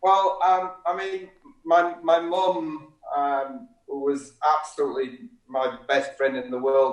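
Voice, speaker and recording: With ordinary pitch variation, a man talks very slowly. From Yorkshire, northern England. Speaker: hairdresser. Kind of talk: casual chat. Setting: live stream interview.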